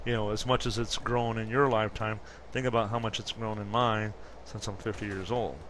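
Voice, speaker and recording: The speech moves at a fairly quick pace with monotone, flat intonation. Audible room echo surrounds the voice. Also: man. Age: 50s. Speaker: gaming commentator. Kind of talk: gameplay commentary. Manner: casual, hesitant with fillers.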